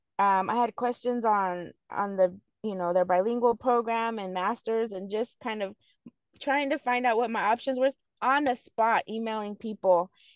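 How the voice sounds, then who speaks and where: A woman's fairly high voice with an American accent, an unremarkable speaking voice at a moderate pace, ordinary pitch variation, and a dry, close sound with no echo over a quiet background. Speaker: mother and returning student. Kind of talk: interview.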